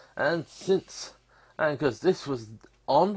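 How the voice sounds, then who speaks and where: This man speaks with a British accent. His voice sits fairly high in pitch. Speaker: YouTuber reviewing game purchases. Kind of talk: casual screen-recorded commentary. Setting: home room recording. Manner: rambling, hesitant with fillers.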